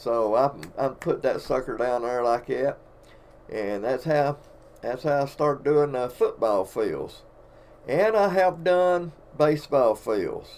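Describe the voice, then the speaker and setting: A man's fairly high voice in an Alabama accent, with lively intonation, a very slow pace and long, frequent pauses. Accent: Southern US (Alabama). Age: 60s. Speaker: painter of sports fields and artist. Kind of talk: casual storytelling live stream. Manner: casual, folksy.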